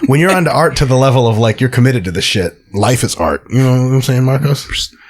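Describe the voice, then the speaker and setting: Over noticeable background noise, a man talks at a very fast pace and medium pitch, with ordinary pitch variation and very even loudness. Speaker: podcast host, sport scientist. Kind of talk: casual chat.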